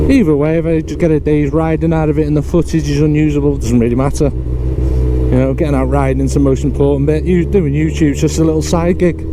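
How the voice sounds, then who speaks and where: Over noticeable background noise and audible room echo, a man talks at a very fast pace with hardly any pauses, his very deep, low voice monotone and flat and his loudness very even. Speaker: motorcycle vlogger. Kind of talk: casual vlog narration while riding. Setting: riding a motorbike, helmet mic.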